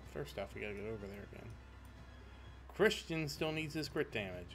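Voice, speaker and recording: Music plays in the background as a man talks fairly quickly, his pitch swinging very widely. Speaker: gaming video creator. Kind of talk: gameplay commentary. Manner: casual, rambling.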